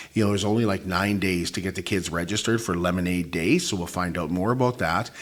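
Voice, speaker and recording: A man speaks with ordinary pitch variation. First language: not English. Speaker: local talk show host. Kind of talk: show sign-off; interview.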